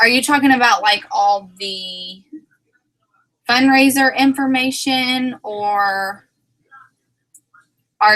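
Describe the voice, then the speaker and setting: A woman with an American accent and ordinary pitch variation. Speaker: direct sales team leader. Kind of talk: team meeting livestream. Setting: video livestream. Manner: casual, rambling.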